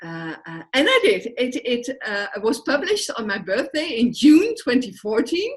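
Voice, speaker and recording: With a Dutch accent, a woman speaks high-pitched at a fairly slow pace, her pitch swinging very widely and her loudness shifting a lot, hardly pausing, over noticeable background noise. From Netherlands. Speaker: social work entrepreneur. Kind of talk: interview. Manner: hesitant, many fillers.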